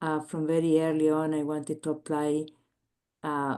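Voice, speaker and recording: Against a quiet background, a woman with a Chilean accent talks at a moderate pace in a very deep, low pitch. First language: Spanish. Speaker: biomedical engineer and entrepreneur. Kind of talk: interview. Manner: halting, many filler words.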